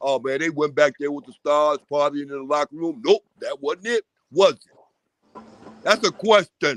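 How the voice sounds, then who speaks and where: At a moderate pace, the voice swings widely in loudness, showing ordinary pitch variation in a dry, close sound with no echo. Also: man, fairly high pitch for a man. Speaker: live show panelist. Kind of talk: casual chat. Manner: animated.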